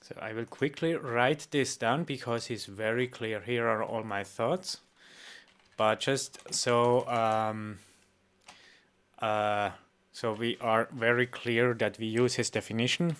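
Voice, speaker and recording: A man speaks at a very slow pace with a medium pitch. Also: ordinary pitch variation. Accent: Swiss. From Switzerland. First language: not English. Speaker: reaction streamer. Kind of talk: reaction stream, casual. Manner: halting, many fillers.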